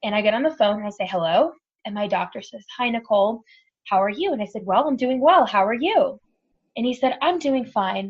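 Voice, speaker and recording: A woman with an American accent, fairly high in pitch, at a fairly quick pace with lively intonation and an animated tone. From Texas. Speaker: cancer survivor. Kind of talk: testimony. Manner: fast.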